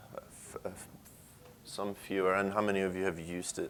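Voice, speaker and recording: Someone with a slight Swedish accent talks at a moderate pace. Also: man. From Sweden. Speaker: software engineer. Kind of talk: conference talk. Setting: stage with audience.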